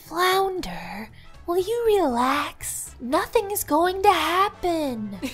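A woman performs a cartoonish character voice at an extremely high pitch and a very slow pace. Clear music plays in the background. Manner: excited.

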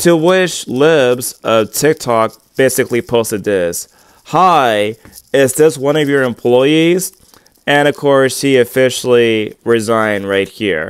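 In a dry recording with no echo and a quiet background, a man speaks very slowly with lively intonation. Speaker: online commentator. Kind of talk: commentary. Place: home room. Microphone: earbuds.

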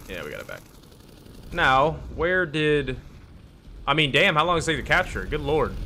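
Fairly high-pitched male voice at a fairly quick pace, with ordinary pitch variation, big swings in loudness, long, frequent pauses and light background noise. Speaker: gaming YouTuber. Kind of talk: casual gameplay commentary. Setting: home recording while playing a game. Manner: animated, excitable. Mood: frustrated, joking.

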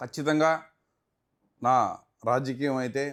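Here is a man with a normal speaking voice at a medium pitch and fairly even intonation. The recording is very clean with a silent background. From Tirupati, Andhra Pradesh (Rayalaseema), India. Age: 40s. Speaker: businessman and politician. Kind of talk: interview.

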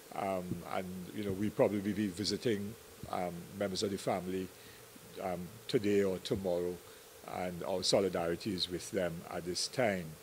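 Monotone, flat delivery at a moderate pace, with long, frequent pauses and light background noise. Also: man, very deep, low pitch for a man. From Trinidad and Tobago. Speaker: political party leader. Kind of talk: press conference statement. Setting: press conference at party headquarters. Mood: serious, measured. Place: meeting room. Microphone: handheld.

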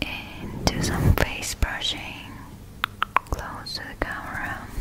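Loud noise fills the background while she talks. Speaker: ASMR creator. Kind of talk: ASMR sleep relaxation. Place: home room. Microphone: studio mic.

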